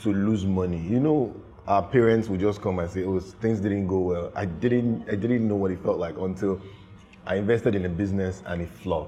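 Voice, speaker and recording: Music plays in the background as a man speaks at a fairly quick pace. His pitch is fairly low and varies in an ordinary way. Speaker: creative director. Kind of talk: casual chat. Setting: studio.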